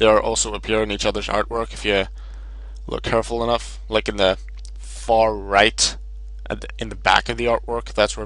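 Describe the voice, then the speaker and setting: Noticeable noise sits behind a man who talks at a moderate pace, pausing long and often. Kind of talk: gaming commentary, deck profile. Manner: loud at points.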